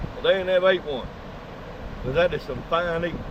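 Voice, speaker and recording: Against noticeable background noise, a man with a Texan accent talks at a fairly quick pace in a high pitch. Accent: Texan Southern US. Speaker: fishing vlogger. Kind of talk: casual outdoor vlog narration. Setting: outdoors on the beach.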